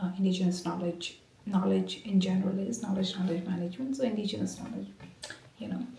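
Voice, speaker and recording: A woman whispers. Audible room echo surrounds her voice. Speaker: academic vlogger, researcher. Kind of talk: casual vlog talk. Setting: office. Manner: whispering; halting, many fillers.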